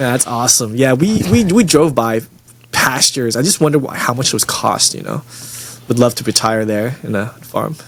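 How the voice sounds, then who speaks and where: Amid noticeable background noise, a man with an American accent talks at medium pitch and moderate pace, with ordinary pitch variation. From Texas, Dallas area. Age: 40s. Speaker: podcast host. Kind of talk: casual chat.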